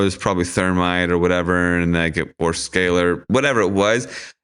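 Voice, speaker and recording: With an American accent, a man talks at a moderate pace over a quiet background. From Washington DC area. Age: 40s. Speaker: activist and filmmaker. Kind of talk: casual chat.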